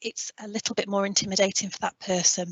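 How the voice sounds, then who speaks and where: The woman speaks with monotone, flat intonation. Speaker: continence care specialist. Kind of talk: webinar presentation. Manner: fast; conversational.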